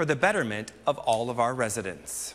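At a moderate pace, a man is talking. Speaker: TV news anchor. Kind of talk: news reading, solo-anchored evening newscast. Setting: TV studio. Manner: crisp, measured anchor delivery. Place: studio. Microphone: lapel.

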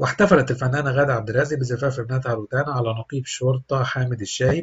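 Fairly even intonation marks this man's speech. His pitch is medium and his voice somewhat breathy. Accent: Egyptian. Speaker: celebrity news narrator. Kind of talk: scripted narration.

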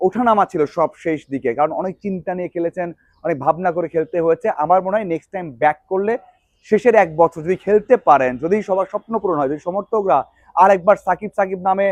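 This man's voice is high in pitch with ordinary variation, recorded with a dry, close sound and no echo. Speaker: sports journalist vlogger. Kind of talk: video commentary monologue.

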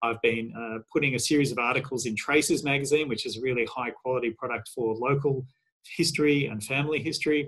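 A man talks at a very fast pace with an Australian accent. His intonation is fairly even, and the background is quiet. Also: medium pitch for a man. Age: 50s. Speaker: historian; panelist. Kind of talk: career talk. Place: home room. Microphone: webcam.

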